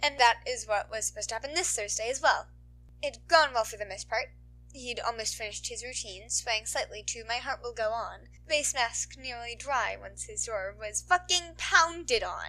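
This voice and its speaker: A woman speaks at a moderate pace. Her loudness swings widely from moment to moment. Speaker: podfic reader. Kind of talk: read story.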